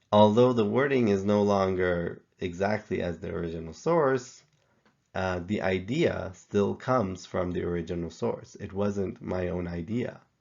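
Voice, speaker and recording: A man with a non-native accent speaks at a fairly low pitch with ordinary pitch variation. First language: not English. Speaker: professor. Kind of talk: tutorial.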